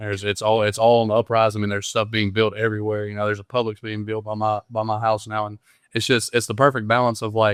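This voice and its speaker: A man's fairly low, monotone, flat voice in a Southern US accent at a very fast pace, dry and close with no echo, against a quiet background. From Mississippi. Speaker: college football player. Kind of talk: casual interview. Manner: halting.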